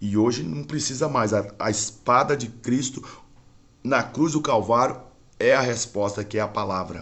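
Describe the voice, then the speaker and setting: This man has an ordinary speaking voice at a medium pitch. His pitch varies an ordinary amount, and he talks at a moderate pace. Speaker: religious internet broadcaster. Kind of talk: preaching livestream monologue.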